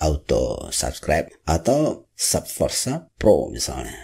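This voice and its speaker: A man with a strong Minangkabau accent. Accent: Minangkabau accent, very noticeable. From West Sumatra, Indonesia (Padang, Minangkabau). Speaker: YouTuber. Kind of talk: vlog monologue.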